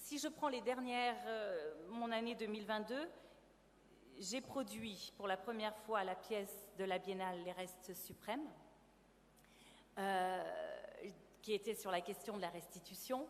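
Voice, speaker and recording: A woman speaks at a very slow pace. She takes long, frequent pauses. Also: medium pitch for a woman, ordinary pitch variation. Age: 50s. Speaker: actress and theatre producer. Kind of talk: testimony.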